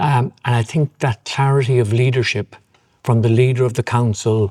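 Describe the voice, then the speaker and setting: In a Cork accent, a man speaks at a medium pitch with a somewhat breathy voice and fairly even intonation. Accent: Irish (Cork). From Ireland, Cork. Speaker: property developer chairman. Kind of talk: interview.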